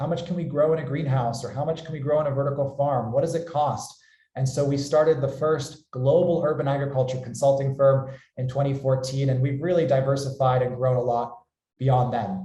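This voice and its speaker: A man with an American accent talks at a fairly quick pace in a fairly high pitch, with a dark, mellow, somewhat breathy tone. His intonation is fairly even, and audible room echo surrounds him. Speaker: company founder and webinar host. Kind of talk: webinar presentation.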